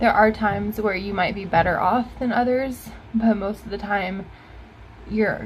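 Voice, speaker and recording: Somewhat breathy, this woman speaks at a medium pitch. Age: 20s. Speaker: vlogger in addiction recovery. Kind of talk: casual personal vlog.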